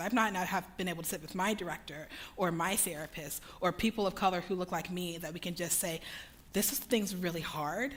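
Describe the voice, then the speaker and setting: A woman with an American accent speaks in an ordinary speaking voice at a medium pitch, with ordinary pitch variation and a fairly quick pace. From Texas. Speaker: speaker on racial justice. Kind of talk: talk to a church audience.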